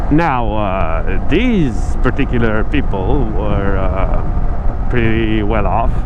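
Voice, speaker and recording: A man talks at a very slow pace with hardly any pauses and very even loudness, amid noticeable background noise and audible room echo. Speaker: vlogger. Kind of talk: casual explainer vlog. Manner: halting, many fillers.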